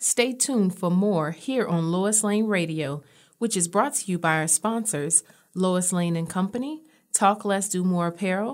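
With a plain, everyday voice, a woman speaks at medium pitch and a moderate pace with ordinary pitch variation. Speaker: radio host. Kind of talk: casual chat. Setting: radio studio. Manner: chatty, casual; warm, friendly.

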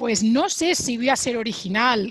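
The woman's voice sits fairly high in pitch. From Spain, Sabadell (Barcelona). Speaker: Spanish teacher. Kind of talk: casual interview.

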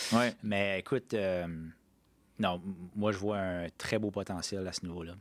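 Fairly low in pitch, a man talks at a fairly slow pace with fairly even intonation and long, frequent pauses. The recording is very clean, with a silent background. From New Brunswick, Canada (Acadian). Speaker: regional economic development director. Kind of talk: podcast interview. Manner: hesitant, many fillers.

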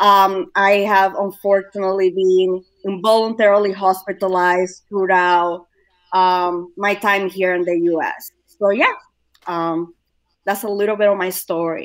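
A woman with an unremarkable speaking voice talks at a fairly slow pace in a medium pitch. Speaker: suicide awareness educator. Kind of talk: casual panel discussion.

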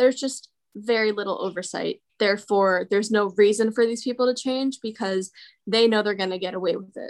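A woman's plain, everyday voice at a moderate pace, fairly high in pitch, with fairly even intonation. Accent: American. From New Jersey, Morristown. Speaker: architecture student. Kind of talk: interview. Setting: video call.

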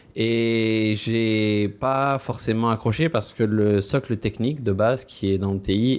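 A man speaks at a fairly slow pace in an unremarkable speaking voice, fairly low in pitch, with hardly any pauses. His intonation is fairly even and his loudness very even. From France. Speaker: recruitment team lead. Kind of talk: interview.

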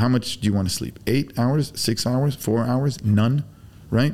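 The tone is dark and mellow. Pitch varies in an ordinary way. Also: man. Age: 40s. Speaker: BBQ pitmaster. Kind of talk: casual chat. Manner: animated.

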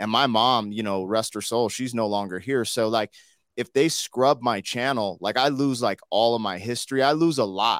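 A normal speaking voice from a man at medium pitch, with ordinary pitch variation and a moderate pace, dry and close with no echo, on a very clean recording with a silent background. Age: 40s. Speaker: hip-hop artist and YouTuber. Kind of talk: casual chat.

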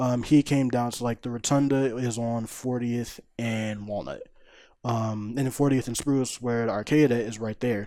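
In a very clean recording with a silent background, a man with an American accent speaks at a moderate pace. His tone is dark and mellow, and his intonation is monotone and flat. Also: medium pitch for a man. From Philadelphia. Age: 20s. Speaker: fighting game player. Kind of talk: casual chat.

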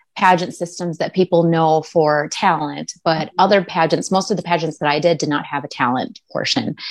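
A plain, everyday voice at a moderate pace. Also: woman. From US Midwest, Minnesota. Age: 40s. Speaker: pageant titleholder. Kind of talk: interview. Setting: video call.

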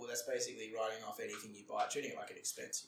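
A man's voice amid noticeable background noise. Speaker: brewery founder and accountant. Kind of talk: casual interview chat.

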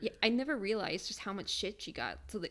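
A woman with an American accent and vocal fry at a fairly quick pace, ordinary pitch variation, in a very clean recording with a silent background. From Michigan. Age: 20s. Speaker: podcast co-host. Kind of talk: casual chat.

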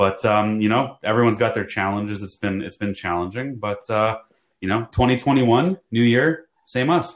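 A man in an ordinary speaking voice, medium pitch, ordinary pitch variation and moderate pace. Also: very clean recording, silent background. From Canada, Toronto. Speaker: podcast co-host, salesman. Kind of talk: casual chat.

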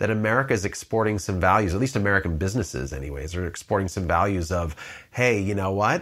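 A man speaks in an unremarkable speaking voice at a fairly low pitch with ordinary pitch variation, recorded very cleanly against a silent background. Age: 50s. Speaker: marketing agency founder. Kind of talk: interview. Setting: home office.

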